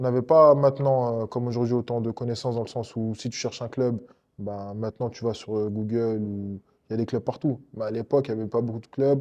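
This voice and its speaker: A man is speaking here. His pace is fairly quick and his intonation fairly even. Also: medium pitch for a man. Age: 30s. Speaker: MMA fighter. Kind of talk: interview. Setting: MMA club dojo. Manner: hesitant, many fillers.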